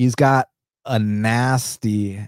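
A man's fairly low voice with an American accent, dark and mellow in tone, in a dry, close sound with no echo. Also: very clean recording, silent background. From US. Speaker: MMA betting podcast host. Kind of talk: casual fight preview and betting breakdown.

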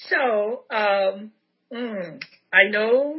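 This woman speaks with a Nigerian accent. Her pitch varies in an ordinary way. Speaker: podcast host. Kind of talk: interview. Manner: animated.

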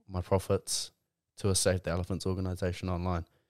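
The recording is very clean, with a silent background. A man with a New Zealand accent speaks in a very deep, low pitch with monotone, flat intonation. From New Zealand, Mount Maunganui, Tauranga. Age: 20s. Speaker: rugby player and clothing brand founder. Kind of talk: casual chat.

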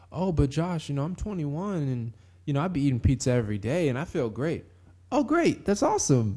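In an American accent, a man talks at a moderate pace. His dark, mellow voice swings very widely in pitch. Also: quiet background. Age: 20s. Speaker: podcast host. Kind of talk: solo podcast monologue. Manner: casual, laughing often.

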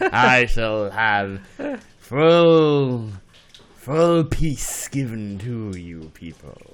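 A man puts on a character voice at a medium pitch, with lively intonation. He speaks very slowly, leaving long, frequent pauses. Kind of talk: hammy villain monologue. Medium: comedy sketch. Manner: silky, gloating, melodramatic.

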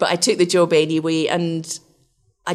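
A woman speaks with a Scottish accent. Her pitch is very deep and low, with vocal fry. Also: very clean recording, silent background. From west of Scotland, Glasgow. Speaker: research scientist. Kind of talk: interview.

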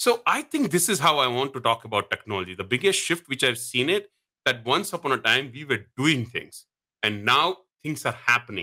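With a bright, sharp tone and lively intonation, a man speaks at a moderate pace and medium pitch. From India. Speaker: database consultant and tech blogger. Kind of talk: podcast interview. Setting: remote call.

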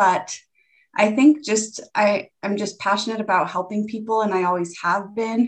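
A plain, everyday voice with a General American accent, fairly even intonation and a moderate pace. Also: woman, medium pitch for a woman. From Colorado, US. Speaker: personal trainer. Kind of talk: interview.

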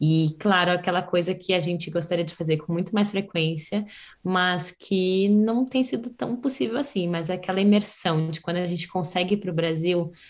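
A woman's normal speaking voice, medium in pitch, at a moderate pace with ordinary pitch variation, hardly any pauses, and a very clean recording over a silent background. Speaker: podcast host. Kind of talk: casual chat.

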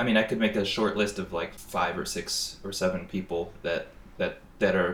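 A man with an American accent at a moderate pace, amid noticeable background noise. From Northwest Indiana, US Midwest. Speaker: comic artist. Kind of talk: casual interview.

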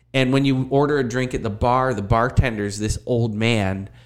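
An ordinary speaking voice, a man with an American accent talks at a fairly quick pace, using a medium pitch and fairly even intonation. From Erie, Pennsylvania. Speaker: university teacher and former punk drummer. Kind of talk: casual chat.

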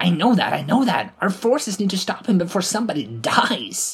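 A woman's put-on character voice with a husky, rough edge, fairly low pitch, big pitch swings and a moderate pace, faint music in the background

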